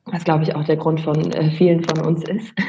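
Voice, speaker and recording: Her voice has a dark, mellow tone and a somewhat breathy quality as the woman talks. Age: 20s. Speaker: aspiring virtual assistant. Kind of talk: casual interview chat.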